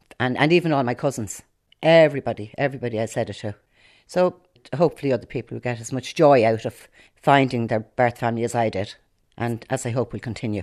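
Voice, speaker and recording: Very fast, a woman with an Irish accent talks in a very deep, low pitch with ordinary pitch variation. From Ireland, Dublin area (Rush). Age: 70s. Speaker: adoptee. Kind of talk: personal testimony.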